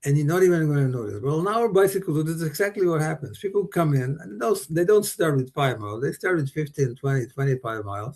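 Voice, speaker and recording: Speaking at a very fast pace with hardly any pauses, a man with a fairly high pitch and a somewhat breathy voice uses lively intonation against a quiet background. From Slovakia. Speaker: bike tour company founder. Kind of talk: interview. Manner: halting.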